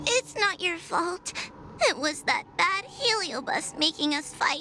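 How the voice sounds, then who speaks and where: Over clear background noise, a female-sounding voice does a put-on character at an extremely high pitch and a fairly slow pace. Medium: video game. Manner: nervous, hesitant.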